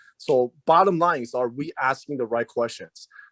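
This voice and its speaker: A man with a non-native accent talks at a moderate pace. The sound is dry and close, with no echo. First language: not English. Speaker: auto repair shop owner in a trade association. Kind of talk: group meeting discussion on video call. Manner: halting, with many fillers and restarts.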